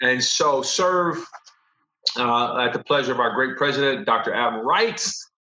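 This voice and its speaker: An American-accented man speaks fairly slowly, with long, frequent pauses and lively intonation. His pitch is fairly high, and the room echo is audible. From Los Angeles, US. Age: 40s. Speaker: professor. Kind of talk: casual chat.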